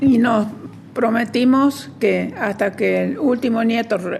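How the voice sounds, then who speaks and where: The woman's voice is fairly high and her pace fairly slow. Noticeable background noise sits behind her. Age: 90s. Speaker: human rights activist. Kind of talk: testimony.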